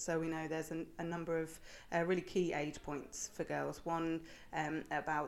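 With vocal fry and a fairly low pitch, a woman speaks in a monotone, flat intonation at a moderate pace on a very clean recording with a silent background. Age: young. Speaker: charity innovation manager. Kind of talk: interview.

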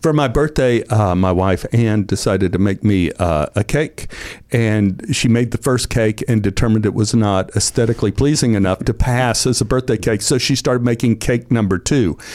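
A man with an unremarkable speaking voice talks at a moderate pace and medium pitch, with ordinary pitch variation. His loudness stays very even, and he hardly pauses. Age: 60s. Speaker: actor. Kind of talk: casual chat. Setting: studio.

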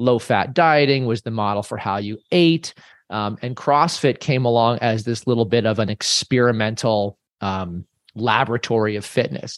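A man speaks in an ordinary speaking voice at a medium pitch and a moderate pace. The sound is dry and close with no echo, over a quiet background. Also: ordinary pitch variation. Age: 50s. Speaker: fitness coach. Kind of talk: interview.

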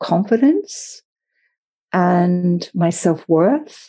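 A woman with an Australian accent speaks at a very slow pace. Her voice is fairly low with a dark, mellow tone, over a quiet background. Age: 50s. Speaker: yoga teacher. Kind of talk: interview.

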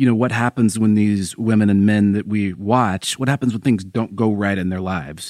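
A man with an American accent talks at a fairly quick pace in a fairly low, fairly even voice, an ordinary speaking voice. The recording is very clean, with a silent background. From US Pacific Northwest, Seattle. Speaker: sports investigative reporter. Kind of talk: podcast interview.

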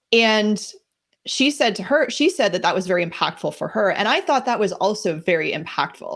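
Using an ordinary speaking voice, a woman with an American accent talks at a fairly high pitch and a fairly quick pace. Her intonation is lively, and the recording is very clean with a silent background. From New Jersey. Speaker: life coach. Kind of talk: casual interview chat.

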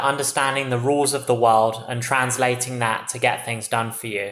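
Speaking in an English accent at a moderate pace, a man of medium pitch is heard over noticeable background noise. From England. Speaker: tech startup CEO. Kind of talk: interview.

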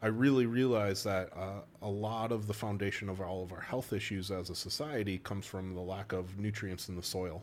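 A man with a Wisconsin accent talks at a fairly quick pace with a fairly low pitch. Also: hardly any pauses. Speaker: chiropractor. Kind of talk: casual chat. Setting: studio. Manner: animated.

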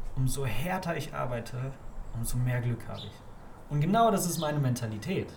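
A man talks at a fairly quick pace with lively intonation and long, frequent pauses. Audible room echo surrounds his voice. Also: medium pitch for a man. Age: 20s. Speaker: photographer and entrepreneur. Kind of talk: casual interview. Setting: on location in Ibiza.

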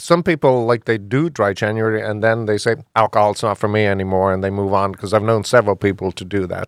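Talking at a very fast pace with hardly any pauses, a man uses a fairly low pitch and ordinary pitch variation in a dry, close sound with no echo on a very clean recording with a silent background. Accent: Irish. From Ireland. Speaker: bar owner. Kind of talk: radio interview.

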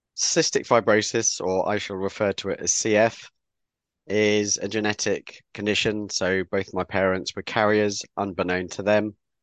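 With a southern English accent, a man talks in a fairly low pitch at a moderate pace. His intonation is monotone and flat, over a quiet background. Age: 50s. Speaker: author and communications specialist with cystic fibrosis. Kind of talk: interview.

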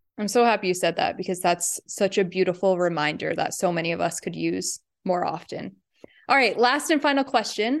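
A woman's ordinary speaking voice at medium pitch, with lively intonation and a fairly quick pace, over a quiet background. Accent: American. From New York State, US. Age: 20s. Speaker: podcast guest co-host. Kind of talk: interview.

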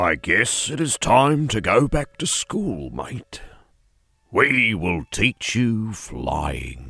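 Using a put-on character voice, a man talks at a very slow pace and a medium pitch. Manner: solemn, serious, regal.

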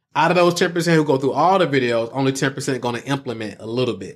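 With an Atlanta accent, a man speaks at a very fast pace in an animated tone, his fairly high pitch carrying lively intonation on a very clean recording with a silent background. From Atlanta, Georgia. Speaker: online marketing entrepreneur and coach. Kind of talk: podcast interview. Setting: studio.

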